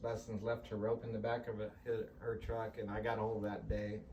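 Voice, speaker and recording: In a room with audible echo, a man of medium pitch talks at a fairly quick pace. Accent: American. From California. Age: 60s. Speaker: team roper and businessman. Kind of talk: interview testimony.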